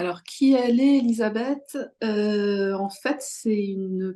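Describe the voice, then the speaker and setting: Speaking very slowly, a woman's voice carries a dark, mellow tone. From France, Charente-Maritime. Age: 40s. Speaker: self-healing teacher. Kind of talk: interview. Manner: hesitant, many fillers.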